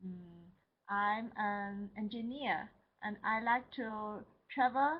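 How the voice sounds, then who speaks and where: A woman speaks with a Chinese accent. Her pitch is medium, with ordinary variation. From China, Shanghai. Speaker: language student, engineer. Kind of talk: class self-introduction. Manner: halting.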